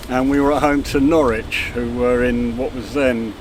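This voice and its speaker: Over noticeable background noise and audible room echo, a man speaks at a medium pitch and a moderate pace. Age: 60s. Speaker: football fan. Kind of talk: casual chat.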